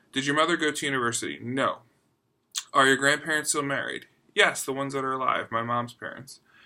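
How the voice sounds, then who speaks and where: Bright, sharp and fairly high-pitched, a man talks very fast with an American accent. The recording is very clean, with a silent background. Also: fairly even intonation. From US, Philadelphia. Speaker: book vlogger. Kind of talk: casual chat.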